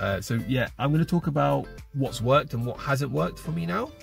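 A man with an English accent, dry sound with no echo and faint music in the background. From Britain. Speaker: French learner. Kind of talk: casual vlog talk to camera. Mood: relaxed, reflective. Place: car. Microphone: phone near.

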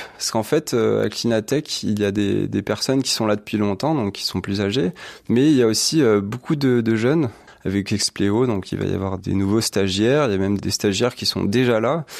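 On a very clean recording with a silent background, a man talks at a moderate pace in a fairly low voice with ordinary pitch variation. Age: 20s. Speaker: electronics engineer. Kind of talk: interview. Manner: halting, many fillers and repetitions.

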